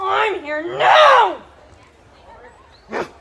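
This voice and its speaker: The speaker uses a put-on character voice. The pitch is extremely high. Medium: stage play. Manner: theatrical, relishing.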